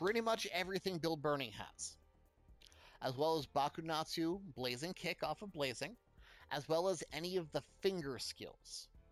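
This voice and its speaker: A man's fairly high voice at a moderate pace with ordinary pitch variation, music playing in the background. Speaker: video game content creator. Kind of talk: casual gameplay explainer. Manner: energetic, unscripted.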